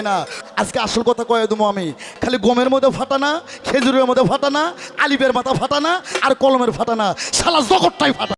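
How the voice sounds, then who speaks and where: A man's extremely high-pitched voice with ordinary pitch variation, over music in the background. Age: young. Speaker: folk singer. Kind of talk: stage talk at a folk debate song performance.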